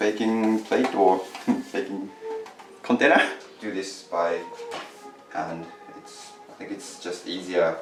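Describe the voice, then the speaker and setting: With a Japanese accent, a man talks at a very slow pace and fairly low pitch, with fairly even intonation, big swings in loudness and long, frequent pauses, while music plays in the background. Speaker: student. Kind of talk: cooking tutorial. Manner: casual, hesitant.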